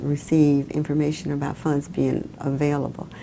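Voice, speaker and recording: Against noticeable background noise, a woman speaks at a moderate pace with a very deep, low pitch. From Mobile, Alabama, US South. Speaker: former city councilwoman. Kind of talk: oral history interview answer.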